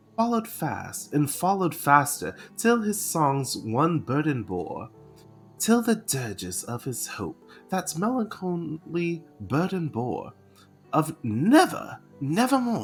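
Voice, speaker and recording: Someone speaks at a very slow pace with music playing in the background. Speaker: vtuber. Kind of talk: poetry reading.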